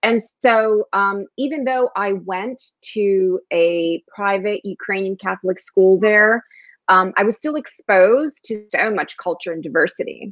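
A woman at a medium pitch, speaking at a fairly slow pace with ordinary pitch variation. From New Jersey, US. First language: Spanish. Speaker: actor and blogger. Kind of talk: casual interview chat.

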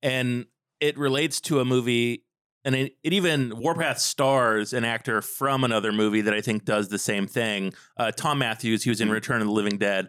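A man with a plain, everyday voice speaks at medium pitch, with ordinary pitch variation and very even loudness. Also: moderate pace. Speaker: podcast host. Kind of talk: interview. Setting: video call.

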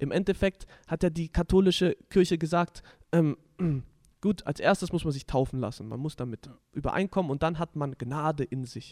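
Speaking with a normal speaking voice, a man talks at a moderate pace and fairly high pitch, with ordinary pitch variation, big swings in loudness, and a dry, close sound without echo. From southwestern Germany, village Deichbach. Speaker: podcast host. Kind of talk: casual religious discussion.

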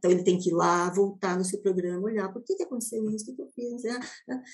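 Somewhat breathy, a woman talks at a very fast pace and medium pitch, with ordinary pitch variation. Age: 50s. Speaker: education technology executive, former math teacher. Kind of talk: interview.

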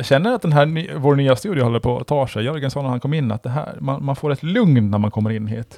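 Speaking at a fairly quick pace with hardly any pauses, a man uses a dark, mellow tone at medium pitch with ordinary variation. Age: 40s. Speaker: podcast host. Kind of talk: casual chat.

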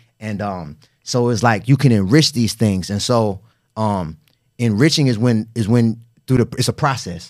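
This is a man's voice at a medium pitch. His pitch varies in an ordinary way. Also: moderate pace, very clean recording, silent background. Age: 30s. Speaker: author and weight loss coach. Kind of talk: interview.

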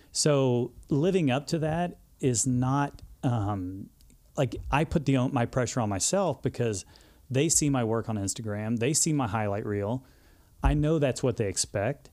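A man with a Texan accent speaks at a medium pitch with lively intonation and a dark, mellow tone, recorded very cleanly against a silent background. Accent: Texan Southern US. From Texas, Houston suburbs. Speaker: hairdresser, social media influencer. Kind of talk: casual interview chat.

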